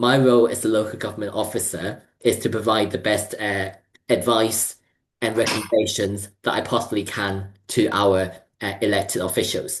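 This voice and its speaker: The pace is moderate against a quiet background. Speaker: local government research lead giving a talk. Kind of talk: presentation talk. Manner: hesitant, many fillers.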